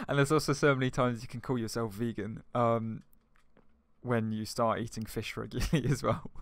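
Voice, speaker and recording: A man speaks in an ordinary speaking voice at a medium pitch and a fairly quick pace. His intonation stays fairly even, and the recording is very clean with a silent background. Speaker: gaming video co-host. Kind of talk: casual chat while playing a video game.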